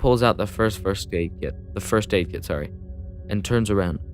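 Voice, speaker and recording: Over music in the background, a man speaks at a very deep, low pitch with ordinary pitch variation. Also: moderate pace. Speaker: let's play gamer. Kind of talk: casual let's play commentary, reading a text adventure aloud. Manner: casual, hesitant, stumbles over words.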